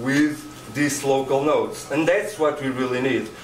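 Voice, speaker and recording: A man with a Portuguese accent talks at a moderate pace in a flat monotone and fairly high pitch, with light background noise and audible room echo. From Portugal. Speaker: conference presenter. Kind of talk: informal spoken presentation in non-native English. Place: meeting room. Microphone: podium.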